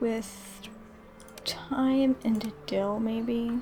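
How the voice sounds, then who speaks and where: Over music in the background, a soft-spoken woman with a fairly high pitch talks in a calm, relaxed tone with ordinary pitch variation. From England. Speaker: gaming ASMR streamer and VTuber. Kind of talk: soft-spoken gaming ASMR commentary. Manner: soft-spoken, calm, relaxed.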